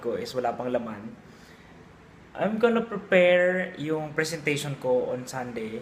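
A man's fairly high-pitched voice at a fairly slow pace, over noticeable background noise. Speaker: vlogger. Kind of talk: casual vlog talk.

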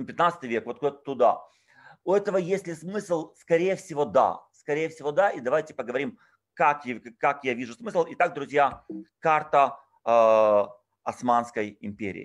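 Over a quiet background, a man speaks at a fairly slow pace with lively intonation, big swings in loudness and long, frequent pauses. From Odessa, Ukraine. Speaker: tour guide and lecturer. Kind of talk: online lecture. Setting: video call. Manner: informal, chatty. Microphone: video call.

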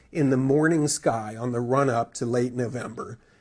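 Male speech with an American accent, somewhat breathy, with ordinary pitch variation. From US Midwest, Wisconsin. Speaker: astronomy magazine editor. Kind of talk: public lecture.

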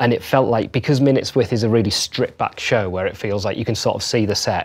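Speaking at a fairly quick pace, a man has a fairly low pitch and ordinary pitch variation.

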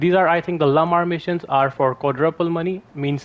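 A man speaks at a fairly quick pace with ordinary pitch variation. He has a plain, everyday voice. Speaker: gaming video creator. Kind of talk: game news update video.

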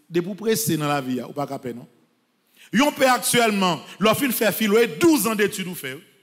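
Against a quiet background, a man's voice moves in very wide pitch swings. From Haiti. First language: Haitian Creole (speaking French). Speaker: priest. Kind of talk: sermon. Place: church. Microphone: podium.

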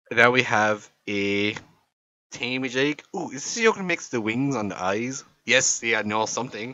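A man with an Irish accent talks at a fairly quick pace. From Ireland. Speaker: YouTuber friend doing a comic voiceover. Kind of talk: comedic voiceover commentary. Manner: animated, exclamatory.

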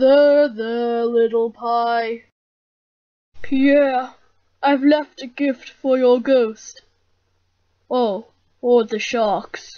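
A cartoonish character voice, female-sounding and high-pitched, moves at a very slow pace. Long, frequent pauses break it up. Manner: simple, food-minded.

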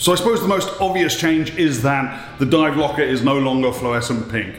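Over faint background music, a man speaks with ordinary pitch variation and audible room echo. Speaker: scuba instructor building a dive locker. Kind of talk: casual vlog chat. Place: empty room. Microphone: phone near.

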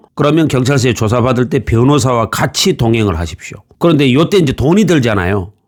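A man at a fairly quick pace, medium pitch and very wide pitch swings. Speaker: former police investigator giving legal advice. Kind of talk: tutorial.

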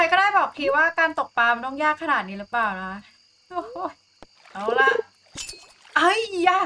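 Over light background noise, a woman speaks in a raised, projected voice with very wide pitch swings. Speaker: game streamer. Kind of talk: casual gameplay commentary. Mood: playful, mildly frustrated. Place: home room.

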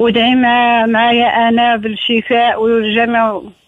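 A woman speaks at a fairly slow pace. Her fairly high voice has monotone, flat intonation. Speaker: caller. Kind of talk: phone-in request for prayers.

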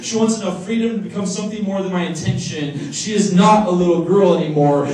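Speaking very fast in a high voice with ordinary pitch variation, a man is heard with audible room echo and light background noise. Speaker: slam poet. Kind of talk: slam poetry performance. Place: hall. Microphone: camera far.

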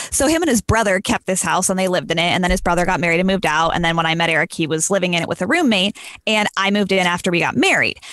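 A woman speaks at a very fast pace with hardly any pauses, her medium pitch showing ordinary variation and her loudness very even, in a dry, echo-free recording with a quiet background. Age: 30s. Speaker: wedding photographer. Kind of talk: casual chat. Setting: video call. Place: home room. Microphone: video call.

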